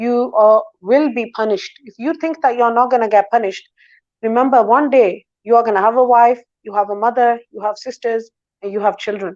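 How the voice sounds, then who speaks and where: A woman's fairly high voice at a fairly quick pace, fairly even in intonation, with big swings in loudness. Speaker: talk show guest. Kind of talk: interview, advice-giving monologue. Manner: confident.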